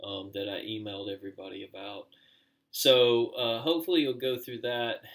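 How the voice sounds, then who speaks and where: The voice shows ordinary pitch variation along with big swings in loudness. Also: man, medium pitch for a man. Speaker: college teacher. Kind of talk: recorded online lecture. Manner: slow; hesitant, many fillers.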